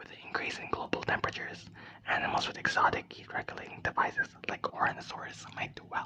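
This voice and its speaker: Someone whispers at a very fast pace. Noticeable background noise is present. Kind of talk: ASMR book reading. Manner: whispered.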